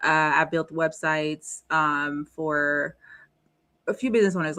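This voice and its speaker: A woman with a Haitian accent speaks at a fairly low pitch. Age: 30s. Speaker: entrepreneur and advocate. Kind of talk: interview.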